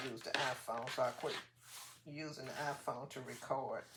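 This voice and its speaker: A woman talks softly in a very deep, low voice. Noticeable background noise runs behind her. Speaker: crafting channel host. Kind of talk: casual craft tutorial. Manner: soft-spoken, drifts low while working.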